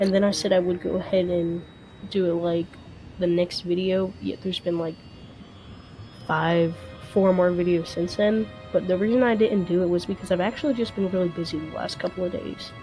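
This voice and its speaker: A woman speaks at a fairly quick pace with fairly even intonation, leaving long, frequent pauses. Music plays in the background. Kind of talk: casual talk to camera.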